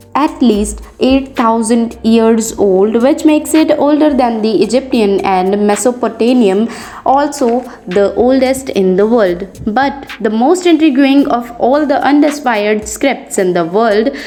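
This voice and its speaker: A woman with a non-native accent speaks fairly slowly at a high pitch with lively intonation. Her loudness stays very even amid noticeable background noise. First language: not English. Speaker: educational YouTuber. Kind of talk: history fact narration.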